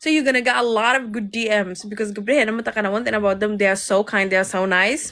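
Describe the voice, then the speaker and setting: A woman with a Somali accent talks very fast in a fairly high, bright and sharp voice. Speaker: live stream host. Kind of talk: casual chat.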